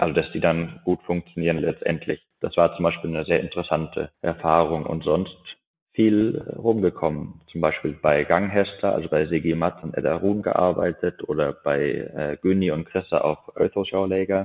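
A man talks at a moderate pace. His voice is very deep and low, with fairly even intonation. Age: 20s. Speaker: horse breeder and racing-pace rider. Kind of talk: podcast interview. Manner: hesitant, many filler sounds.

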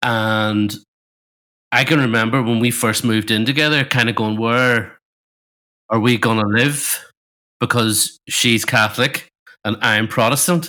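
A man with a Northern Irish accent talks at a fairly slow pace with long, frequent pauses, his medium-pitched voice bright and sharp in tone. The loudness is very even, and the recording is very clean with a silent background. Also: fairly even intonation. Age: 40s. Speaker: podcast co-host. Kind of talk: casual chat.

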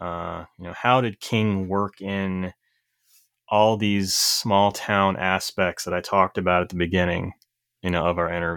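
In a very clean recording with a silent background, a man with a very deep, low pitch speaks at a fairly slow pace in a monotone, flat intonation. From eastern Kentucky (Corbin). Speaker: horror author. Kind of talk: casual interview chat.

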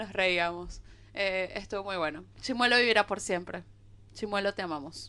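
A woman at a medium pitch and moderate pace, bright and sharp in tone, with ordinary pitch variation. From Venezuela. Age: 20s. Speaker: podcast co-host. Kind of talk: casual chat.

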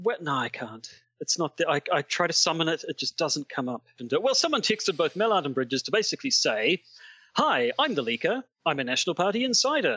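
A man's high voice in a New Zealand accent, with very wide pitch swings at a fairly quick pace. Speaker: podcast host discussing politics. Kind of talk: casual chat.

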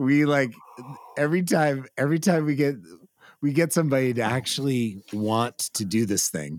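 This man has an unremarkable speaking voice at a medium pitch. He talks at a moderate pace with lively intonation. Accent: American. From California. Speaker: podcast host. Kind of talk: casual chat.

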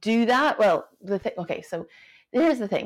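With a very clean recording and a silent background, a woman talks at a fairly quick pace with ordinary pitch variation in an unremarkable speaking voice. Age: 40s. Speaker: breathwork coach and former neuroscientist. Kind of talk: casual interview chat.

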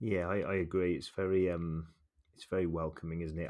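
In a very clean recording with a silent background, a man talks with a West Midlands accent. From England, Shrewsbury. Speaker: podcast host. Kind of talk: casual chat.

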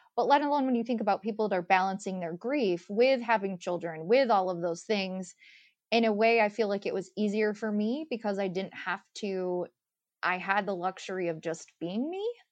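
A woman speaks at a moderate pace, medium in pitch with ordinary pitch variation, in a normal speaking voice. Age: 30s. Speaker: author and widow sharing grief experience. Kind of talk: interview conversation.

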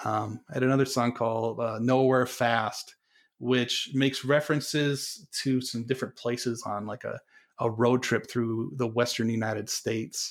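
Recorded very clean against a silent background, a man speaks at a medium pitch and moderate pace with monotone, flat intonation. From North Dakota. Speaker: English teacher and musician. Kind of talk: casual interview chat.

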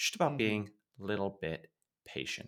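A man's fairly low voice at a fairly quick pace, in a very clean recording with a silent background. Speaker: podcast co-host. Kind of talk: casual chat, news recap.

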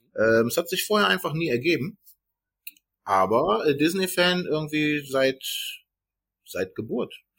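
In a very clean recording with a silent background, a man with a fairly high, bright and sharp voice speaks at a moderate pace, his pitch swinging very widely, with vocal fry. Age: 30s. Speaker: podcast host. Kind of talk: casual chat.

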